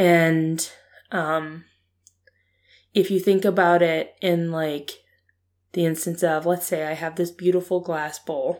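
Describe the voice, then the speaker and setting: In a very clean recording with a silent background, a woman speaks very slowly in a fairly low pitch and a monotone, flat delivery, leaving long, frequent pauses. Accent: American. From Ohio, US. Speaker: podcast co-host. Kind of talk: casual conversation. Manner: playful, sarcastic.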